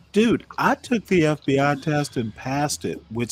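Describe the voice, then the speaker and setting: With an American accent, this man's voice sits fairly high in pitch. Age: 60s. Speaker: debate show host. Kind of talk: heated debate. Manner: animated; interrupting, crosstalk.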